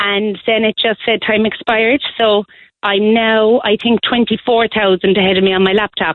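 With an Irish accent, a woman speaks at a fairly slow pace in a fairly high pitch, her intonation monotone and flat and her loudness very even. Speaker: primary school teacher. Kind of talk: casual chat. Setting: phone call.

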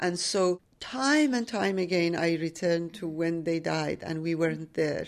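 The speaker has a Persian accent and ordinary pitch variation. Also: woman. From Iran, Tehran. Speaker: author and teacher. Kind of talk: interview. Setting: literary festival.

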